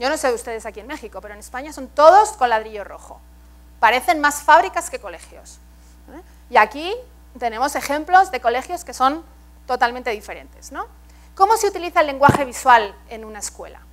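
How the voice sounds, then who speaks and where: Fairly quick in pace, this woman's high voice moves through very wide pitch swings. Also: big swings in loudness. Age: 40s. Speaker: art education expert and professor; professor. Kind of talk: keynote lecture. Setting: stage with audience. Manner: engaging, interactive with audience. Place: hall. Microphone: lapel.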